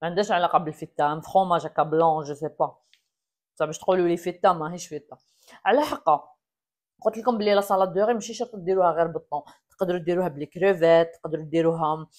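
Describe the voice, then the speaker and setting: With a plain, everyday voice, a woman speaks at a fairly low pitch and moderate pace with ordinary pitch variation over a quiet background. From Algeria. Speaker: cooking vlogger. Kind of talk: cooking tutorial. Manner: casual, chatty. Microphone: lapel.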